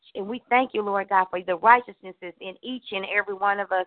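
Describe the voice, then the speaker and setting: A woman with a medium pitch and ordinary pitch variation. It is an unremarkable speaking voice. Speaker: prayer participant. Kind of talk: intercessory prayer. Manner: fervent, frequent oh God interjections.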